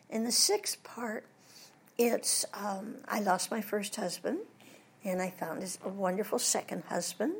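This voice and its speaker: Fairly slow speech from a woman, medium in pitch, ordinary in pitch variation, noticeable background noise underneath. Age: 80s+. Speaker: voice actress and former Disney reference model. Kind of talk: interview. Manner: animated.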